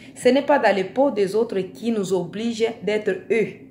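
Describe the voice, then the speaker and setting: A woman speaks with a non-native accent. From Africa. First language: not French (speaking French). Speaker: vlogger. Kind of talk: video monologue. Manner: hesitant, repeating words.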